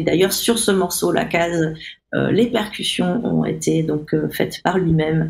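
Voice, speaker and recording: The pace is fairly slow. Loudness stays very even throughout. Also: woman. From Réunion (Saint-Benoît). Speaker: musician. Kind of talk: interview. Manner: halting, many fillers.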